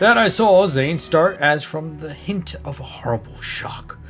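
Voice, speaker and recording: Over music in the background, a man talks at a fairly slow pace in a fairly high pitch with lively intonation. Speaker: storyteller. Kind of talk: horror story reading.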